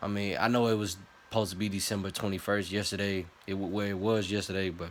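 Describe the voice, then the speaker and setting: The speaker is a man with a fairly low pitch. His intonation is monotone and flat, and his pace fairly quick. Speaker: vlogger. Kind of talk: casual rant to camera. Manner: halting, repetitive.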